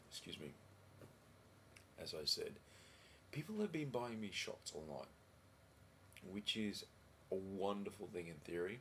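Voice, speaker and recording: With an Australian accent, a man talks quietly at a moderate pace in a fairly low pitch, his lively intonation broken by long, frequent pauses. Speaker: vlogger. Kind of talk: casual video diary. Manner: halting.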